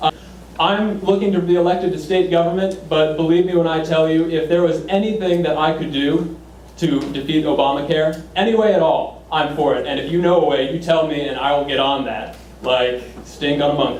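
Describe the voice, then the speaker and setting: A man with an American accent speaks at a fairly high pitch. The room echo is audible and there is noticeable background noise. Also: fairly quick pace. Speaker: political candidate. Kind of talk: campaign speech; Q&A answer. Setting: public meeting with audience. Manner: energetic.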